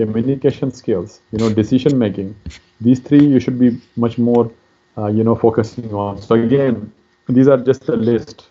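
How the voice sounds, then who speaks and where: A man at medium pitch with a Pakistani accent. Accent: Pakistani (Pashtun) English. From Pakistan, Pashtun. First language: Pashto. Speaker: career counselor. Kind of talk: lecture. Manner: halting, many fillers.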